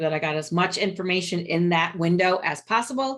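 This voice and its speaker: The speaker is a woman with a fairly low pitch. She has an unremarkable speaking voice. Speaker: webinar presenter for small business marketing. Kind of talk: webinar presentation. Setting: video call.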